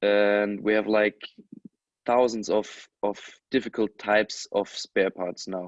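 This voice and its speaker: With a non-native accent, a man speaks at a fairly slow pace in a fairly low, flat monotone, leaving long, frequent pauses. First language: not English. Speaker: electronics repairer. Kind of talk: webinar panel discussion. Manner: halting.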